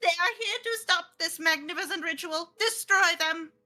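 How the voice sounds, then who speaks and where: This put-on character voice is shrill with an extremely high pitch. It goes at a moderate pace. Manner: menacing, commanding.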